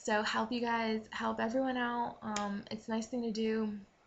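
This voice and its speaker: Somewhat breathy and monotone, a woman with a fairly high pitch speaks at a fairly slow pace with flat intonation. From Maine, New England. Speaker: vlogger. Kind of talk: casual vlog tips. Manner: hesitant, many fillers.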